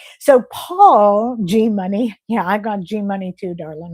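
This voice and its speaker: On a very clean recording with a silent background, a woman in an ordinary speaking voice talks at a fairly slow pace, with medium pitch and ordinary pitch variation. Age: 60s. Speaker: health vlogger. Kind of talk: livestream chat. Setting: livestream. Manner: casual.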